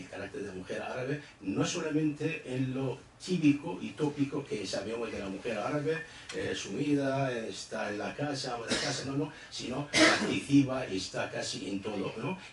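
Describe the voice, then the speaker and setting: Noticeable background noise plus audible room echo behind a man's voice. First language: Arabic (speaking Spanish). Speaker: book presenter, literary commentator. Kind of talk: book presentation speech. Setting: event hall with audience. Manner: halting, many fillers.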